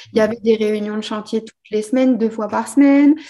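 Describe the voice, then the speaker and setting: With an unremarkable speaking voice, a woman talks at a moderate pace, fairly high in pitch, with ordinary pitch variation. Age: 30s. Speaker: vintage furniture restorer. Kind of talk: casual chat.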